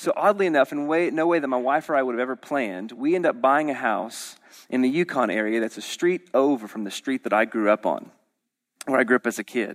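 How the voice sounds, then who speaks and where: In an American accent, a normal speaking voice moves at a fairly quick pace, the sound dry and close with no echo on a very clean recording with a silent background. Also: man, medium pitch for a man. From Oklahoma City, US. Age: 30s. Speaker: pastor. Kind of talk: sermon.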